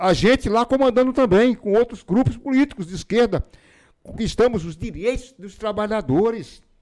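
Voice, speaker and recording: A man talks at a moderate pace with a high pitch for a man. His pitch varies in an ordinary way, while his loudness swings widely. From Pernambuco backlands, Brazil; raised in Feira de Santana, Bahia. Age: 70s. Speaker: former city councillor and author. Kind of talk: interview. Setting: studio.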